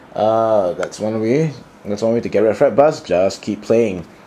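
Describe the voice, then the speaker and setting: A man's fairly low voice at a fairly quick pace, ordinary pitch variation, noticeable background noise. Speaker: guitarist. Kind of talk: casual talk to camera. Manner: slurring and mumbling a bit.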